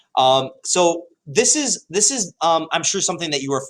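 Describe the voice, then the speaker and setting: A man talks in an animated, enthusiastic tone. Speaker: high school history teacher. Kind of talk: tutorial. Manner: hesitant with many fillers.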